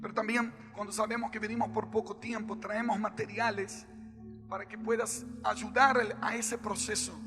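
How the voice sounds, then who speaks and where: A raised, projected voice with a Brazilian accent comes at a moderate pace, with audible room echo and music in the background. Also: man. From Brazil, Rio de Janeiro. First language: Portuguese (speaking Spanish). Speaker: worship leader and preacher. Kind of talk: sermon.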